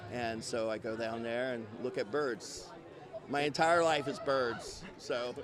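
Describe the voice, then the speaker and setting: A man at medium pitch talks at a fairly slow pace with ordinary pitch variation while noticeable background noise sits behind him. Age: 60s. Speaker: wildlife educator. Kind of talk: interview.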